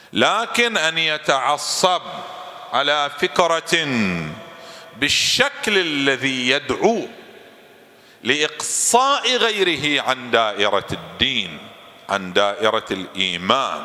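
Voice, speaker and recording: A man speaks at a very slow pace with very wide swings in pitch and long, frequent pauses. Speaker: cleric lecturer. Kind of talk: sermon. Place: hall. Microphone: studio mic.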